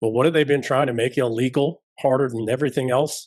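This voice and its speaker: Against a quiet background, a man with an unremarkable speaking voice talks at a fairly quick pace, medium in pitch and fairly even in intonation. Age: 50s. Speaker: former special forces soldier, podcast guest. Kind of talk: interview.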